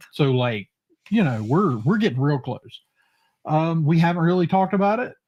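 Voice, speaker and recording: Loud and at a moderate pace, a man speaks at a fairly high pitch with very wide pitch swings. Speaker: podcast host. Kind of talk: casual chat.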